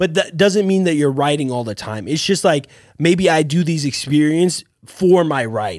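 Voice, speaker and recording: A man speaks in a normal speaking voice at a fairly high pitch. The recording is very clean, with a silent background. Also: lively intonation, moderate pace. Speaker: podcast co-host. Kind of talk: casual chat.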